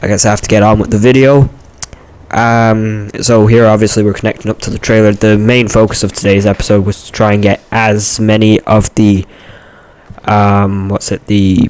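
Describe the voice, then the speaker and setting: Noticeable background noise sits under a man's fairly low voice, which moves at a moderate pace in a flat monotone. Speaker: gaming youtuber. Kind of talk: gameplay voiceover commentary. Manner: halting, many fillers.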